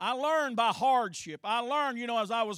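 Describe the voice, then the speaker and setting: A bright, sharp tone in an Appalachian accent, on a very clean recording with a silent background. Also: man. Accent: Appalachian US Southern. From eastern Kentucky. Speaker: Sunday school teacher. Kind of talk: Bible teaching to a church class.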